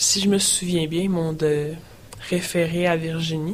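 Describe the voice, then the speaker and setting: A woman's fairly low, monotone, flat voice over noticeable background noise. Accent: Quebec. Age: young. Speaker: person sharing her mental health story. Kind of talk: testimony. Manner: hesitant, many fillers.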